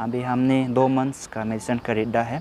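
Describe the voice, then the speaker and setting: A man speaks in a flat monotone. Noticeable background noise runs behind him. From Arunachal Pradesh, India. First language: Nyishi (speaking Hindi). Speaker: vlogger. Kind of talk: vlog, walking tour. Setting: outdoors, hospital grounds. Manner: halting, with fillers.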